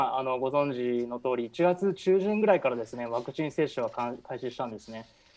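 In an ordinary speaking voice, a man speaks at a fairly quick pace with a fairly high pitch and ordinary pitch variation. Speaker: architecture producer, foreign correspondent. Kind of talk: radio interview.

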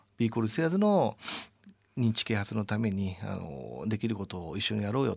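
Speaking at a moderate pace, a man with a normal speaking voice uses lively intonation at a fairly low pitch. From Japan, Yamaguchi Prefecture. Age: 40s. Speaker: sports team executive. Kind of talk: radio interview. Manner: polite formal.

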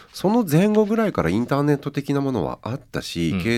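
The recording is very clean and the background silent. A man is talking. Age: 50s. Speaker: writer and editor, radio presenter. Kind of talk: casual radio interview.

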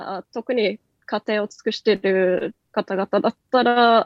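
A woman speaks with a Norwegian accent. Her pitch is fairly high. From Norway. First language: Norwegian (speaking Japanese). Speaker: company country head. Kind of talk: radio interview.

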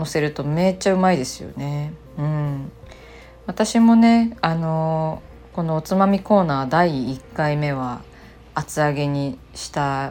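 A woman speaks at a fairly slow pace in a very deep, low voice with a dark, mellow tone and ordinary pitch variation. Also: big swings in loudness. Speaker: illustrator and podcast host. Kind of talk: casual solo radio-style talk. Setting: home living room, remote recording. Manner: calm, gentle.

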